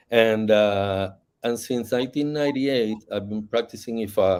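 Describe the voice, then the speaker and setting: With a Spanish accent, a man talks at a moderate pace in a dark, mellow tone with ordinary pitch variation, on a very clean recording with a silent background. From Puerto Rico, Ponce. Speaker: novelist and Ifa practitioner. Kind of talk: panel discussion. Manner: halting.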